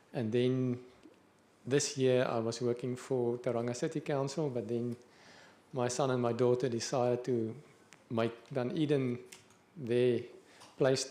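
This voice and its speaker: Speaking in a South African accent, a man with a medium pitch and a dark, mellow tone keeps a monotone, flat intonation at a fairly slow pace with long, frequent pauses. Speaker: council engineer. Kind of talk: self-introduction.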